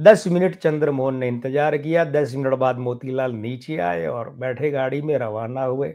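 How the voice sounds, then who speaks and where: A man's fairly high voice with a dark, mellow tone, ordinary pitch variation and a quiet background. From Rajasthan, India. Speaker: film history storyteller. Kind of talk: storytelling monologue. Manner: conversational, with self-corrections.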